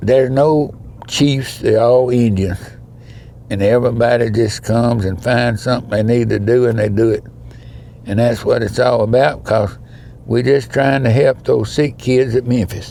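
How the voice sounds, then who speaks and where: Over noticeable background noise, a man with an Alabama accent talks in a very even loudness and fairly even intonation. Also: medium pitch for a man, moderate pace. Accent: Southern US (Alabama). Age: 80s+. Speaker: charity event founder. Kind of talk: casual interview.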